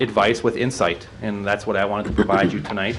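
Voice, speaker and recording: A man with a slight Wisconsin accent speaks at a fairly quick pace and fairly low pitch. His intonation stays fairly even, and audible room echo surrounds him. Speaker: utility rate consultant. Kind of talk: presentation to city council. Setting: city council meeting. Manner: halting, many fillers and restarts.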